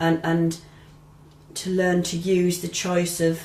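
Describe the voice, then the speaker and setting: With an English accent, a woman speaks very slowly in a monotone, flat intonation at a fairly low pitch, with audible room echo. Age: 60s. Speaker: retired midwife. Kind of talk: interview testimony. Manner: hesitant, with many ums and restarts.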